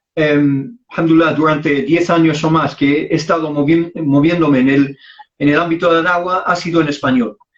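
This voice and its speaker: A man with an Arabic accent speaks at a moderate pace in a fairly high voice with ordinary pitch variation. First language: Arabic (speaking Spanish). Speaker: Islamic preacher. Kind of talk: interview conversation.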